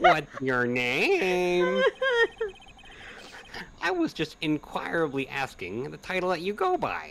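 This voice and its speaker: Over clear background noise, a man in a nasal, put-on character voice talks at a fairly slow pace and fairly high pitch, with long, frequent pauses. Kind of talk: comic overacting. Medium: virtual streamer. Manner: pompous, condescending, grandiloquent.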